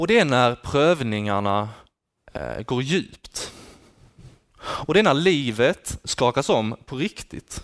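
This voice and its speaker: Very slowly and with long, frequent pauses, a man speaks with very wide pitch swings in a dry, close sound with no echo. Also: medium pitch for a man. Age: 20s. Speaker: student teacher giving a sermon. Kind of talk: sermon.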